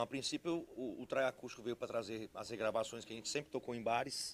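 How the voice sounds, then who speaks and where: A man is speaking. His pace is very fast. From Guarulhos, São Paulo, Brazil. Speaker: sertanejo band member. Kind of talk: interview. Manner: halting, repeats words.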